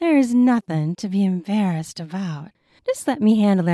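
Lively intonation runs through an unforced reading voice, with the background quiet.

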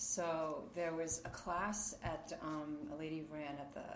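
A woman with a New York accent and a very deep, low pitch, fairly even intonation, audible room echo and noticeable background noise. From Queens, New York. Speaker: yoga teacher. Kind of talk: interview. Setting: home yoga studio.

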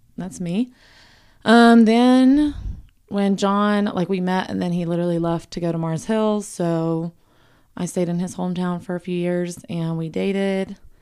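Here a woman with a dark, mellow tone speaks at a fairly slow pace with ordinary pitch variation. The recording is very clean, the background silent. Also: medium pitch for a woman. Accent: Southern US. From US South, South Carolina. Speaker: podcast guest, host's wife. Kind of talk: casual chat.

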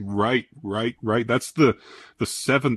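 Using an ordinary speaking voice, a man talks at a moderate pace and medium pitch with ordinary pitch variation, in a dry, close sound with no echo and a quiet background. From Newfoundland, Canada. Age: 40s. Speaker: podcast host, automotive journalist. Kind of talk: casual interview.

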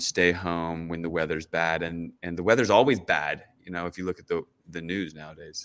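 This man's pitch is very deep and low. He speaks at a moderate pace. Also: very clean recording, silent background. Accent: American. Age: 40s. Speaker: activist. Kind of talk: interview.

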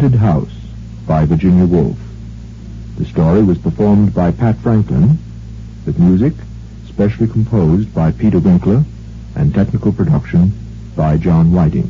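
A man with a very deep, low voice speaks at a moderate pace, his loudness very even while his pitch swings very widely. Long pauses come often, and noticeable background noise runs underneath. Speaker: radio announcer. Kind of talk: archive radio drama announcement and narration.

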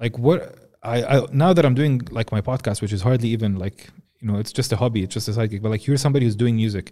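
A man's dark, mellow voice at medium pitch with an Arabic accent, ordinary pitch variation and a very fast pace, on a very clean recording with a silent background. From Jordan. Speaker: podcast host. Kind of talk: casual interview. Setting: studio.

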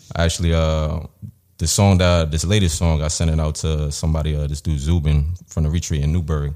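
A man talks at a very fast pace in a New York accent, his pitch very deep and low. His tone is dark and mellow, and his intonation stays monotone and flat. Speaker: rapper. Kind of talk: casual interview.

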